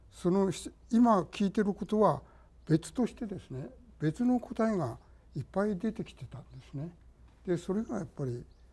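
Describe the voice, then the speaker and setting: The man's pitch swings very widely. He talks at a fairly slow pace. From Tokyo. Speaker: architect. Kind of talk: reminiscence in panel discussion. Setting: online panel discussion. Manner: halting, many pauses.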